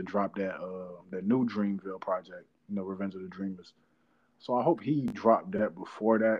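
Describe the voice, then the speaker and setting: Speaking at a fairly quick pace, a man with a fairly low pitch keeps his intonation fairly even. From North Carolina. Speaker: podcast host. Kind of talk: casual chat.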